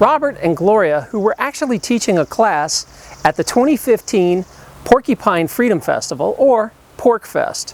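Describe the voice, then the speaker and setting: In a dry, close sound with no echo, a man with a Southern US accent talks at a moderate pace and high pitch, with very wide pitch swings. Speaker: documentary host. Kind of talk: documentary narration.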